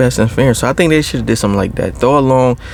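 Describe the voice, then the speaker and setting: The speaker is soft-spoken, with fairly even intonation. Noticeable background noise sits behind the voice. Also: man. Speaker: ASMR creator. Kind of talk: casual talk to camera.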